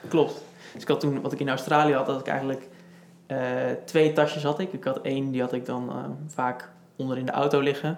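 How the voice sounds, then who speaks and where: Fairly quick speech in a monotone, flat intonation, broken by long, frequent pauses, with noticeable background noise. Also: man, fairly high pitch for a man. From Netherlands, Houten (Utrecht province). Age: 20s. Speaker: project manager and cyclist with type 1 diabetes. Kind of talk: casual interview.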